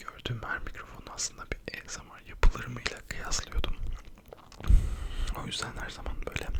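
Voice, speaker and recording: At a moderate pace, with long, frequent pauses, the speaker whispers while noticeable background noise carries on behind. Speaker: ASMR content creator. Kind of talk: casual talk to camera, chatty ASMR video. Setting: home at night, quiet recording. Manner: whispered, soft-spoken.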